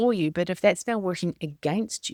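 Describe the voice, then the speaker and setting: A woman with a New Zealand accent talks at a fairly quick pace, her fairly low voice dark and mellow. The sound is dry and close with no echo, on a very clean recording with a silent background. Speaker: business coach and podcast host. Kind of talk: motivational podcast monologue.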